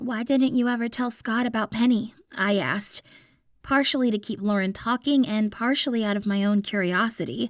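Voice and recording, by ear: Aloud reading, natural in voice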